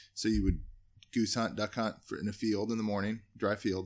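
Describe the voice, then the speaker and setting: This very clean recording with a silent background features a man with a normal speaking voice. He talks at a fairly quick pace with fairly low pitch and fairly even intonation. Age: 30s. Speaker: hunting outfitter and guide. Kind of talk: casual interview.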